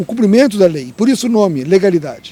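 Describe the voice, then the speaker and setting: Lively intonation marks a man's high voice as he moves at a fairly quick pace. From Rio Grande do Sul, Brazil. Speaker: labour lawyer and politician. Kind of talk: interview answer.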